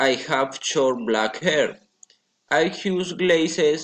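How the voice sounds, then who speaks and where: A man with a Colombian accent, fairly high-pitched, at a very slow pace, with ordinary pitch variation. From Colombia, Florencia, Caquetá. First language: Spanish. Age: 20s. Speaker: language student. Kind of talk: prepared self-introduction for English class. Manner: halting.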